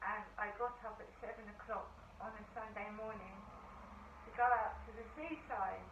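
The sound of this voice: In a room with audible echo, a woman speaks at a moderate pace, her medium-pitched voice keeping a fairly even intonation.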